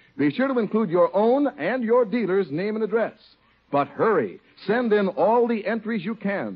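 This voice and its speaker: With lively intonation and an upbeat tone, a man talks at a moderate pace in a high pitch. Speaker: radio announcer. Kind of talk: scripted announcer narration and sponsor ad reading. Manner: smooth, polished, upbeat announcer delivery.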